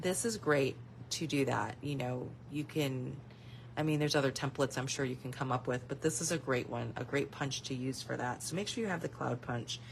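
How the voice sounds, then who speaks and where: Pitch moves in an ordinary way while a creaky vocal fry threads through the speech. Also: woman. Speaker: stamping craft demonstrator and seller. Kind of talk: product walkthrough video. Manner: casual, with fillers; fast.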